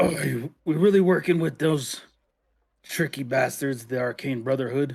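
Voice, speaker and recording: Putting on a character voice, a man sounds raspy and gruff at a medium pitch and a moderate pace. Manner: suspicious, distrustful.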